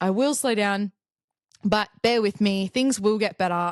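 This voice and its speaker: A woman talks with an Australian accent. The sound is dry and close, with no echo. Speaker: podcast host. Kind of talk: casual chat. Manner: fast.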